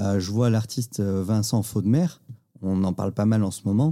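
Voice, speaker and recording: A man's fairly low voice with a dark, mellow tone in a very clean recording against a silent background. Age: 30s. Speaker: podcast host, crypto enthusiast. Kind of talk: casual interview chat. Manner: repetitive stammering on words.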